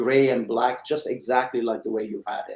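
The man has an unremarkable speaking voice at a medium pitch. His pace is moderate and his intonation fairly even. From Iran, moved to Chicago at 13. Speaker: cigar company owner, former auto executive. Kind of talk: interview.

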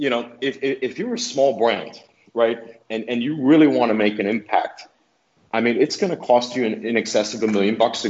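At a fairly quick pace, a man speaks in a plain, everyday voice of medium pitch. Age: 30s. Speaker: cigar company executive. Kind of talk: casual chat.

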